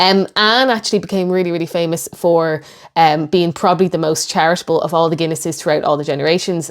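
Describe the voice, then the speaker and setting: In a very clean recording with a silent background, a woman with an Irish accent speaks at a fairly low pitch. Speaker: history YouTuber. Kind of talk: video reaction commentary.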